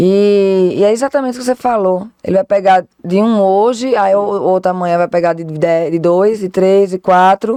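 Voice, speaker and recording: A woman with a Pernambuco accent speaks at a moderate pace and medium pitch, her dark, mellow tone carrying ordinary pitch variation with hardly any pauses in a dry, close sound with no echo. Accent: Northeastern Brazilian (Pernambuco). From Northeast Brazil, Recife, Pernambuco. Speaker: lawyer, political law specialist. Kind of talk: podcast interview. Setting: studio.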